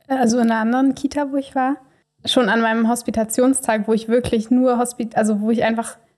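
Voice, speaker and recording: At a very fast pace, a woman talks in a fairly high, monotone, flat voice. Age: 20s. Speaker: trainee kindergarten teacher. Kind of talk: casual interview conversation.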